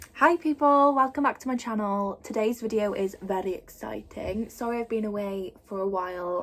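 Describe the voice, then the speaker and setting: A woman's fairly high voice with an English accent and normal pitch movement. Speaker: youtuber. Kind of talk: casual vlog. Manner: chatty, many fillers.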